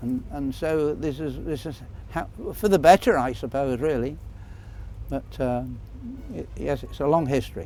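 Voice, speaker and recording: There is music in the background as a man talks at a moderate pace. He leaves long, frequent pauses. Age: old. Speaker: retired fairground stallholder. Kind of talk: documentary interview.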